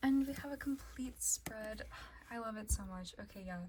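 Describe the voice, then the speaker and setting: A woman speaks fairly quickly, and noticeable background noise can be heard. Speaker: kpop collector vlogger. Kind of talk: casual collection vlog. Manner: casual, chatty.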